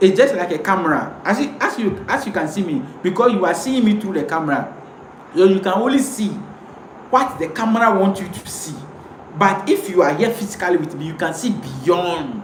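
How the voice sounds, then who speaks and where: Lively intonation and a fairly quick pace mark this man's high-pitched voice. Noticeable background noise and audible room echo are present. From Ghana, Ewe speaker. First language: Ewe. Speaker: pan-African commentator. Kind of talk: live stream monologue. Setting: live video stream to camera. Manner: impassioned, repetitive.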